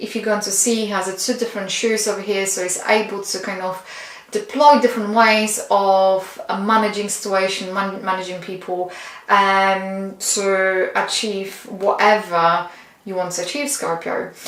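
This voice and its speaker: With a non-native accent, a woman speaks at a medium pitch amid noticeable background noise and audible room echo. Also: fairly even intonation, moderate pace. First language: not English. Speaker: tarot reader. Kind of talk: tarot reading. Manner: halting.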